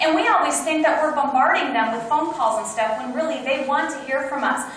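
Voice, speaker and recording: In an animated tone with ordinary pitch variation, a woman speaks amid strong room echo and light background noise. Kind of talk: training talk with role-play. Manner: fast. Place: meeting room. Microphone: camera far.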